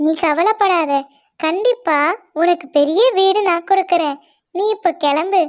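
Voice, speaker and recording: A cartoonish character voice at an extremely high pitch and a very slow pace. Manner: calm, kindly.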